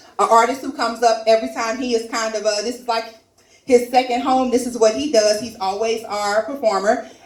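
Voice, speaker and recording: A woman talks at a moderate pace in a fairly high, animated voice. Audible room echo and noticeable background noise fill the recording. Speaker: comedy open mic host. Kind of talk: stand-up hosting with audience. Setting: stage with live audience. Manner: loud.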